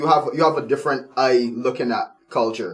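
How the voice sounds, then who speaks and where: Here a man speaks in a normal speaking voice. His intonation is lively, his pace moderate. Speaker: radio show host. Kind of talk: radio show banter.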